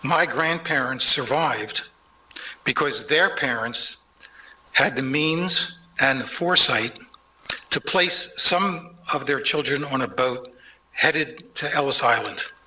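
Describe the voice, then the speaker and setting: Very slow and broken by long, frequent pauses, a man with an American accent speaks at a fairly high pitch over noticeable background noise. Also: ordinary pitch variation. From Philadelphia, US. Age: 70s. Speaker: public commenter at council meeting. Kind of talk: prepared public comment. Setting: city council chamber. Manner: formal.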